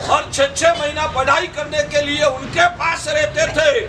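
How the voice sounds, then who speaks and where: Over noticeable background noise, a man with an extremely high pitch uses a raised, projected voice with ordinary pitch variation. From Gujarat, India. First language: Gujarati (speaking Hindi). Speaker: Jain monk. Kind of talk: religious discourse.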